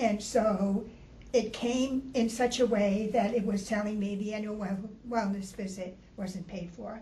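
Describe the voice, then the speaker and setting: At a fairly slow pace, a woman with a fairly high pitch speaks in fairly even intonation over noticeable background noise. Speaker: class participant, older adult. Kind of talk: class discussion.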